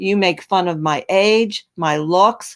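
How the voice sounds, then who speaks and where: A medium-pitched woman's voice, very cleanly recorded with a silent background. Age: 60s. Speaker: YouTube creator. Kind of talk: heated debate. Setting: live stream. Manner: animated.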